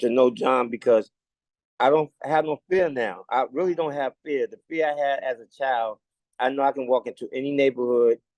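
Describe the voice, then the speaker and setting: A man with a New York accent speaks at a moderate pace and medium pitch, with ordinary pitch variation and a dry, close sound with no echo. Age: 60s. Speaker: community leader. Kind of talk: casual chat. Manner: halting.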